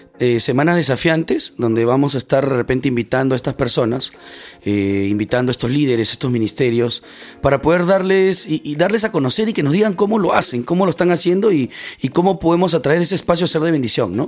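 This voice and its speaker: Music plays in the background as a man speaks very fast. His voice is fairly high for a man, and his intonation is lively. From Peru, Lima (Barranco). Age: 30s. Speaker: podcast host, church missions volunteer. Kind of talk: casual chat.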